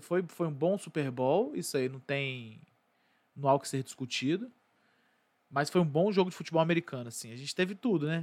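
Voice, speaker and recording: A man in a normal speaking voice, fairly high in pitch with ordinary pitch variation, at a fairly quick pace, on a very clean recording with a silent background. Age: 20s. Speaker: sports podcast host. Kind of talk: casual commentary monologue. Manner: casual.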